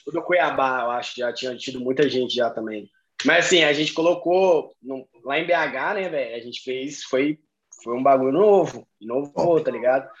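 He has a plain, everyday voice, pitched fairly high for a man. The man speaks at a moderate pace with ordinary pitch variation. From Belo Horizonte, Minas Gerais, Brazil. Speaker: American football player. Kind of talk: casual chat.

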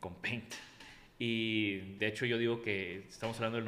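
Here a man talks at a fairly slow pace. His intonation is monotone and flat. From Mexico, Tampico. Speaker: industrial designer. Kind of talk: interview.

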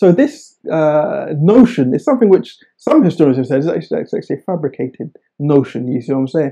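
A man's fairly high voice in a southern English accent, dark and mellow in tone, with lively intonation, a fairly quick pace and hardly any pauses. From England, Oxford. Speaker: historian and author. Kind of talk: interview.

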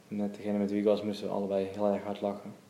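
There is audible room echo around a man's fairly low-pitched voice. His intonation is monotone and flat. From Netherlands, Waalwijk, Brabant. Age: 30s. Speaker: menswear shop owner. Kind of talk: casual interview. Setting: in a shop.

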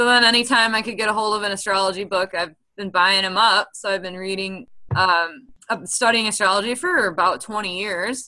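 With a Midwestern US accent, a woman talks at a fairly quick pace, a medium pitch and fairly even intonation. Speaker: astrologer and podcast host. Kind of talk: casual podcast conversation. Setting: remote, on a call from Milwaukee.

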